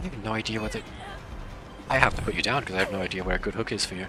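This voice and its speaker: A man speaks very rapidly while music plays in the background. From Australia. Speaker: gaming streamer. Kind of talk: casual live stream commentary. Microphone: quiet audio.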